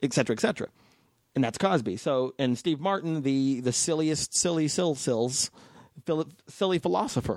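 An unremarkable speaking voice from a man with an American accent, fairly high in pitch, with lively intonation, very even loudness and a moderate pace. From North Las Vegas, Nevada, US. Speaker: stand-up comedian. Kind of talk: casual chat.

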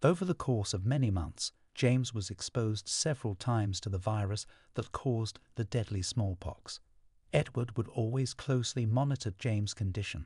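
In a quiet background, a man speaks in a somewhat breathy, dramatic tone at a medium pitch and moderate pace, with ordinary pitch variation. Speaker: podcast narrator. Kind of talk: history documentary narration, scripted storytelling read aloud. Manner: measured, dramatic, evocative storyteller pacing; formal, polished, suspenseful tone.

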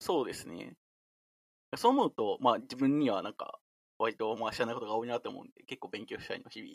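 A man at a very fast pace, loudness swinging widely, recorded dry and close with no echo. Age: 20s. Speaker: software engineer with a mathematics degree. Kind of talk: casual chat.

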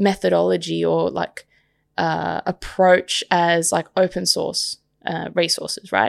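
Speaking at a fairly slow pace with an Australian accent, a woman comes through dry and close with no echo on a very clean recording against a silent background. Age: 30s. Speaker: podcast host. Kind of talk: solo podcast monologue. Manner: casual, with many fillers.

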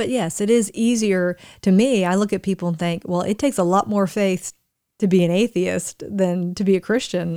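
A woman with a slight Southern US accent speaks at a moderate pace in a dark, mellow tone, her medium pitch moving with ordinary variation, in a dry, close sound with no echo and a very clean recording against a silent background. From Florida, US. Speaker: co-host. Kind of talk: casual chat.

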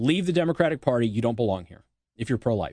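The speaker has an American accent and vocal fry. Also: man. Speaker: radio host. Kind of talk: angry rant. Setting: studio. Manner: angry, sarcastic.

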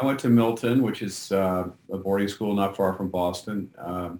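A man with an unremarkable speaking voice talks at a fairly slow pace. His pitch is fairly low and his intonation fairly even. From New York City, Manhattan Upper East Side. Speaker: novelist. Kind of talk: interview.

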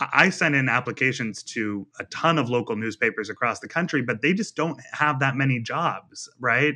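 A man's plain, everyday voice at medium pitch, with ordinary pitch variation, a moderate pace and hardly any pauses. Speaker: magazine journalist author. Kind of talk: interview conversation.

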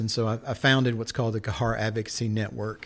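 In a Southern US accent, a man speaks very fast at a medium pitch. The recording is very clean, with a silent background. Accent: Southern American. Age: 50s. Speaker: pastor and missions advocate. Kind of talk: casual chat.

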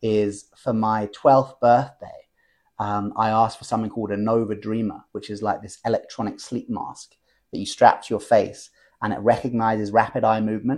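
A man with an English accent at a medium pitch and a fairly quick pace, against a quiet background. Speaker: lucid dreaming teacher. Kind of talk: interview conversation. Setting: at home. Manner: animated.

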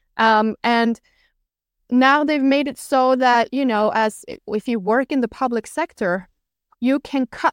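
A high-pitched woman with a Norwegian accent and ordinary pitch variation at a fairly slow pace, on a very clean recording with a silent background. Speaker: political commentator and journalist. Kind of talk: casual interview chat.

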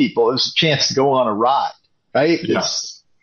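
A man speaks with an Upper Midwest accent. His pace is moderate. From Wisconsin, River Falls. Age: 50s. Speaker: fan. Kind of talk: casual chat. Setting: video call.

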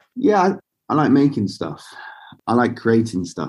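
A man speaks in a southern English accent. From southern England (Basingstoke, Hampshire). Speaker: clothing brand founder. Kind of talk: interview conversation. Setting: remote call.

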